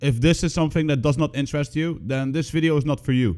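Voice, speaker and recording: Delivered at a very fast pace, the speech carries a strong non-native accent. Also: man. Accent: thick non-native. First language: not English. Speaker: gaming content creator. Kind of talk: scripted commentary.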